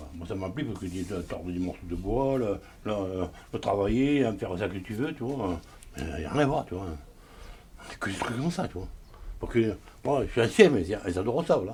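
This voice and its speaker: A man with a southern French accent talks at a fairly quick pace and fairly low pitch, with lively intonation. He takes long, frequent pauses. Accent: Cévennes, southern French rural. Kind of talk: interview answer. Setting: outdoors. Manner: hard to understand at times.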